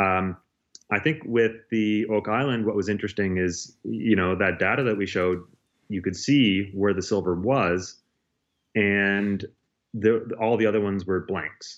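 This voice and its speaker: At a fairly slow pace, a man in a Maritime Canadian accent speaks with a fairly low pitch and fairly even intonation. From Nova Scotia, Canada. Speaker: university chemist. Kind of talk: interview.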